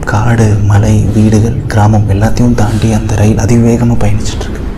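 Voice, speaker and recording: A man's voice at very even loudness, with noticeable background noise. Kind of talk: guided imagery narration.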